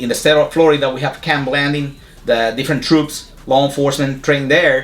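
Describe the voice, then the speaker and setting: A man with a strong Puerto Rican accent speaks fairly quickly at fairly high pitch. His intonation is monotone and flat, with noticeable background noise. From Puerto Rico. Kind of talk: interview.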